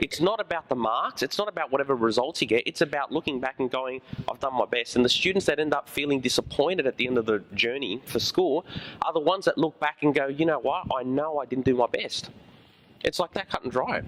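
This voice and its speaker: Very fast, animated speech from a man with an Australian accent, fairly high pitch, and ordinary pitch variation, in dry, close sound with no echo and noticeable background noise. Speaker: high school teacher. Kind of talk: school presentation. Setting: room with student audience.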